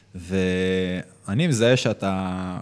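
With a plain, everyday voice, a man speaks at a fairly low pitch and ordinary pitch variation. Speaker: podcast co-host, business owner. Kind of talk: casual interview chat.

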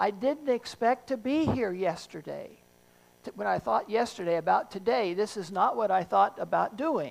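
A woman at medium pitch, with very wide pitch swings and vocal fry. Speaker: pastor preaching sermon. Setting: live church service. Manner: slow talker.

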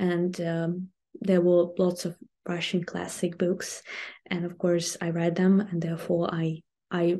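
Her voice is fairly low and dark, mellow in tone, with a Ukrainian accent. The woman speaks at a fairly slow pace with monotone, flat intonation. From southern Ukraine, Kherson region. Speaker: language teacher and online video host. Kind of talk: interview. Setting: remote call from Ukraine. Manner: halting, many fillers.

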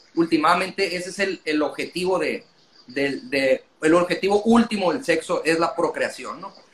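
A high male voice at a moderate pace, with ordinary pitch variation. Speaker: language school director. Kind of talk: casual interview.

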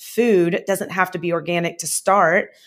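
An unremarkable speaking voice from a woman with an American accent, medium in pitch, fairly even in intonation and fairly slow in pace, on a very clean recording with a silent background. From US South. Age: 40s. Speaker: chef and cafe owner. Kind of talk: casual interview chat.

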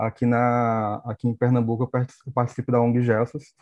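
Over music in the background, a man speaks at a moderate pace and medium pitch in a monotone with flat intonation. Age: 30s. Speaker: HIV activist, YouTuber. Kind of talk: casual panel discussion.

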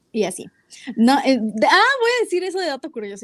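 An animated tone at a moderate pace on a very clean recording with a silent background. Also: woman. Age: 20s. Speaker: podcast co-host, music and marketing student. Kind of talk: casual chat. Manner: animated, laughing often.

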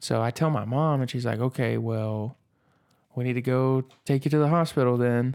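Speaking at a moderate pace and medium pitch, a man has a normal speaking voice. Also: fairly even intonation. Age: 20s. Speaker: podcast host. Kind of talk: casual chat.

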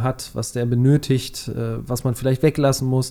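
A man's medium-pitched voice carries a dark, mellow tone with a monotone, flat intonation. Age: 30s. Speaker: podcast host. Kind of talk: casual chat.

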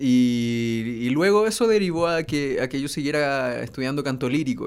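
Moving at a fairly quick pace, a man speaks at a fairly high pitch with ordinary variation. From northern Chile (Iquique). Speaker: singer-songwriter. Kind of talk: casual chat. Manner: halting.

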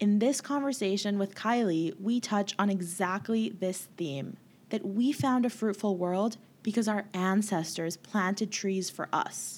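A woman with a Canadian accent has an ordinary speaking voice, talking at a fairly slow pace with medium pitch and ordinary pitch variation. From Canada, Winnipeg. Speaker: podcast host. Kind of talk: casual interview; scripted intro narration.

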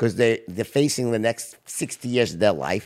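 In a very clean recording with a silent background, a man of medium pitch speaks at a moderate pace with vocal fry. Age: 50s. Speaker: podcast host. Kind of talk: casual interview chat. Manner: animated, talkative, interrupts.

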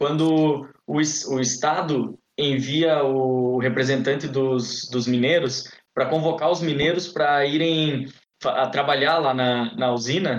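Very slow and fairly high in pitch, a man's voice holds very even loudness and fairly even intonation. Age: 20s. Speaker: podcast host, medical student. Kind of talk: casual interview.

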